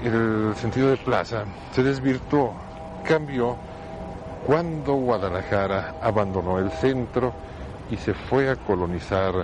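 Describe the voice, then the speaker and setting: A man with a fairly low pitch speaks very slowly, leaving long, frequent pauses. His intonation is lively, and there is noticeable background noise. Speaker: radio host. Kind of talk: monologue. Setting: outdoors in a public square.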